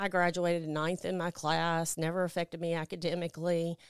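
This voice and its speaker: A woman speaks with a Mississippi accent. The sound is dry and close with no echo, on a very clean recording with a silent background. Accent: US Southern (Mississippi). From Mississippi Delta (Clarksdale). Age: 40s. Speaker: person in recovery from addiction. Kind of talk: testimony. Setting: studio. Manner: loud.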